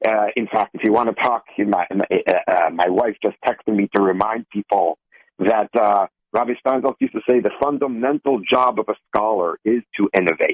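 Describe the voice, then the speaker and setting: A man with an American accent speaks in a plain, everyday voice at a fairly low pitch. His moderate pace, ordinary pitch variation and very even loudness hold throughout. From Israel (Beersheba), earlier Minnesota. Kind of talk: radio panel discussion.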